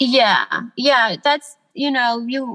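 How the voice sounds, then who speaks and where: This woman's voice has a bright, sharp tone, and she speaks with an American accent. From US South, Atlanta then Los Angeles. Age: 20s. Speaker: artist, podcast guest. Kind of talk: casual chat.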